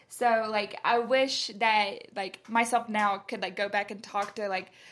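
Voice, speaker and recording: A woman speaks with a Southern US accent. Her pitch is fairly high and her intonation fairly even. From US South, Carrollton, Georgia. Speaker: college student. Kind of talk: casual chat.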